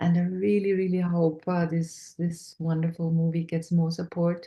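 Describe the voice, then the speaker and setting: Somewhat breathy and dark, mellow in tone, a woman speaks fairly slowly with a fairly low pitch and flat, monotone intonation. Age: 60s. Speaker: human design practitioner, guest on a fundraiser livestream. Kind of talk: livestream group talk, personal testimony. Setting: online livestream. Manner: halting, many fillers.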